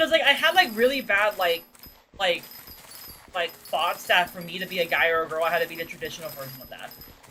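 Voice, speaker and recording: With noticeable background noise behind her, a woman with a fairly low voice talks very fast, her intonation lively and her loudness swinging widely. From Australia. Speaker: vtuber streamer. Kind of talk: casual chat. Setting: livestream.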